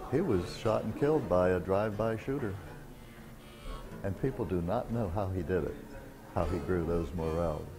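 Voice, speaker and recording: A man with a very deep, low voice speaks at a moderate pace with lively intonation and long, frequent pauses, while music plays in the background and room echo is audible. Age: 70s. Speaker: morel hunter. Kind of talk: documentary interview.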